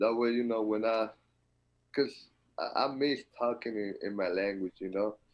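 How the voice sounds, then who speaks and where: A strong Dominican accent at a moderate pace, with fairly even intonation and long, frequent pauses. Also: man, medium pitch for a man. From Dominican Republic. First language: Spanish. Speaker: college basketball player. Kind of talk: interview.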